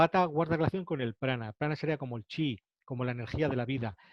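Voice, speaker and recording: Talking at a fairly quick pace, a man with fairly high pitch shows ordinary pitch variation. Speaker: ayurveda teacher. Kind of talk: lecture. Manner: fast.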